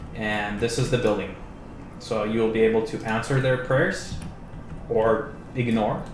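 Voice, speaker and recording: Over noticeable background noise and audible room echo, a man at medium pitch talks at a fairly slow pace with long, frequent pauses and fairly even intonation. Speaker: game developer. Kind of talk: livestream game demo. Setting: live stream. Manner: casual.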